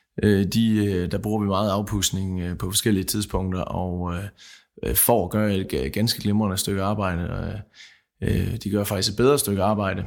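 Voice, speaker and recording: On a very clean recording with a silent background, a man speaks at a fairly slow pace, with a fairly low pitch and fairly even intonation. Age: 30s. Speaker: seed grower. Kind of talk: panel discussion. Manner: halting.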